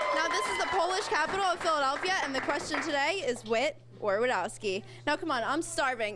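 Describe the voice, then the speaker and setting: A woman's high, raised, projected voice at a fairly quick pace, with very wide pitch swings, very even loudness and noticeable background noise. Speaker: TV reporter and anchor. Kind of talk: local TV news report. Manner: professional, clear.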